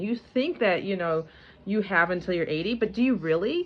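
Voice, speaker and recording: A woman talking at a fairly quick pace with lively intonation. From US Midwest, Michigan. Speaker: homesteading vlogger. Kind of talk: casual vlog talk to camera. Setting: at home with baby. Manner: halting, many repetitions and restarts.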